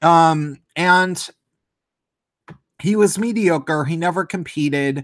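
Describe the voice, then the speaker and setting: Loud and high-pitched, a man speaks at a very slow pace with long, frequent pauses and ordinary pitch variation. The recording is very clean, with a silent background. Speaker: live streamer. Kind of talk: casual rant.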